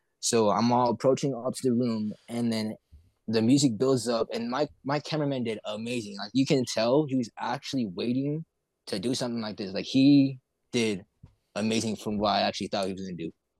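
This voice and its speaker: A man talks in a normal speaking voice at medium pitch with ordinary pitch variation and a fairly quick pace. The recording is very clean, with a silent background. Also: dry, close sound with no echo. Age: young. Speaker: hip hop artist. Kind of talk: casual interview chat.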